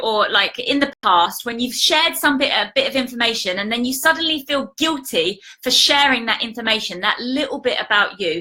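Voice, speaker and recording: A woman's raised, projected voice sits high in pitch, with a bright, sharp tone. Her pitch swings very widely as she speaks at a moderate pace. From British. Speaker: life coach. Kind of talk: casual live stream talk to viewers.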